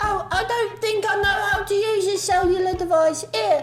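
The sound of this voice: A man puts on a character voice at an extremely high pitch, moving at a moderate pace. Clear music sounds in the background.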